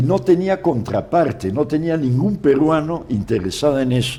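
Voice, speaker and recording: A man speaks with fairly high pitch. His pitch swings very widely. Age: 80s+. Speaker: forestry scientist and entomologist. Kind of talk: interview. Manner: halting with repetitions.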